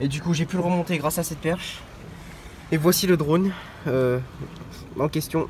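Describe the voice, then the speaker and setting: With noticeable background noise around him, the man talks in a fairly high voice, at a moderate speed and with fairly even intonation. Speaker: vlogger. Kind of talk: travel vlog. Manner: halting.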